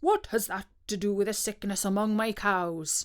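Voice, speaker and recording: A woman puts on a character voice at a medium pitch. Her pace is moderate and her intonation fairly even. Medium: read story.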